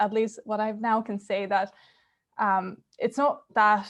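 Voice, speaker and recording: A woman with a Finnish accent speaks in a monotone, flat intonation. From Finland. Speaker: university student. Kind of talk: webinar panel talk. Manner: halting.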